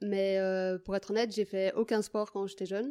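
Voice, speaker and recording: At a fairly quick pace, a woman speaks in a medium pitch with a dark, mellow tone. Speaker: footballer and PE teacher. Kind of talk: interview.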